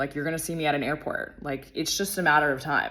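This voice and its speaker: An animated, gravelly voice. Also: woman. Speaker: lifestyle podcaster and mentor. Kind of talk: casual monologue.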